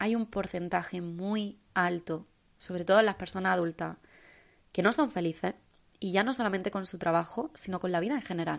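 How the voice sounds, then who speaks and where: A woman speaks at a fairly quick pace in a medium pitch with ordinary pitch variation against a quiet background, in a plain, everyday voice. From Spain, Almería. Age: 20s. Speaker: podcast host. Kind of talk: solo motivational podcast monologue.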